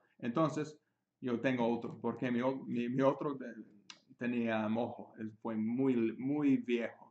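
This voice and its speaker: Fairly even intonation marks this man's speech. He talks at a moderate pace. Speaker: chess teacher. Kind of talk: tutorial. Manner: halting, self-correcting in Spanish; switches between Spanish and English. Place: home room. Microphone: webcam.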